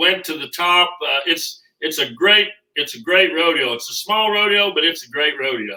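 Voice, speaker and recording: This man has a Kansas accent and a high pitch with lively intonation. His tone is bright and sharp, and his pace is moderate. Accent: rural Midwestern (Kansas). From Kansas, Abbyville. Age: 60s. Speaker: rodeo veteran. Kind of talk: casual chat.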